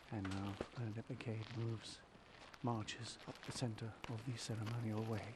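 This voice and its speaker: The intonation is monotone and flat. Audible room echo is present. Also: man, medium pitch for a man, moderate pace. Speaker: live ceremony commentator. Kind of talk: live commentary. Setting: outdoors in a small gazebo. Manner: speaking quietly.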